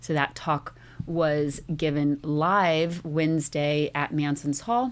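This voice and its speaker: A woman speaks at a very slow pace with a very deep, low pitch and fairly even intonation in a very clean recording with a silent background. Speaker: community radio host. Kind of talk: radio presentation. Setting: studio.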